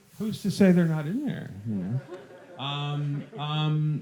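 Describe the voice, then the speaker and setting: The speaker has an American accent and lively intonation, at a moderate pace. Noticeable background noise runs underneath. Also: man. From Ohio, US Midwest (Sandusky). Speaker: film director. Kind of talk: Q&A session. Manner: halting.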